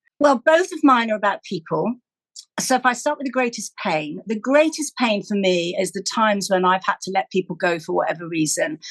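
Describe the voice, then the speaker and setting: A woman with a British accent at medium pitch, fairly quick, with very wide pitch swings and a dry, close sound with no echo. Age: 60s. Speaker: charity chief executive and podcast co-host. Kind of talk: casual chat.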